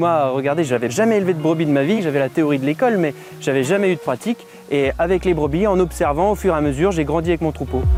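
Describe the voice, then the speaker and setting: Very fast speech from a man at a fairly high pitch, ordinary pitch variation, and music in the background. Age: 20s. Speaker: sheep farmer. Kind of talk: interview testimony.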